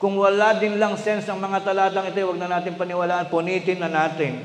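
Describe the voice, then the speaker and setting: Loud, high-pitched man at a moderate pace, with audible room echo and noticeable background noise. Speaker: preacher. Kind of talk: sermon. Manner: loud, raised voice; energetic.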